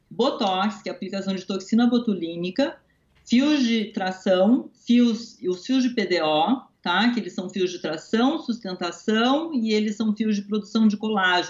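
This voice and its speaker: A somewhat breathy voice moves at a moderate pace with hardly any pauses and ordinary pitch variation. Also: woman. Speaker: dentist. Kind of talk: interview.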